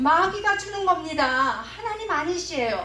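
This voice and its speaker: A woman speaks in a raised, projected voice with an animated tone and very wide pitch swings. Her pace is moderate, and room echo is audible. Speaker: pastor's wife and preacher. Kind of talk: sermon to pastors.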